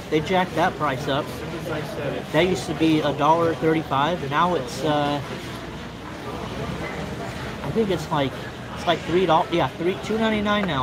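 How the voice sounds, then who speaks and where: A man talks at a middling pace, his pitch varying normally, as background noise comes through clearly. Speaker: livestreamer. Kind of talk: casual vlog chat. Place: cafe. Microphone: phone near.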